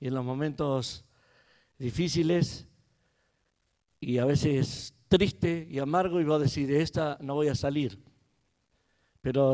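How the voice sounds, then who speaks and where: A man's voice has a dark, mellow tone and a fairly high pitch. His intonation stays fairly even. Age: 60s. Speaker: pastor. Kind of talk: sermon. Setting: church.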